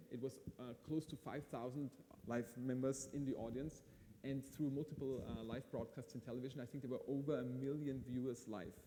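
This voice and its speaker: This man speaks with an Austrian accent at a fairly quick pace and medium pitch. His tone is dark and mellow, and his intonation is monotone and flat. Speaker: event host. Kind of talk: live event hosting interview.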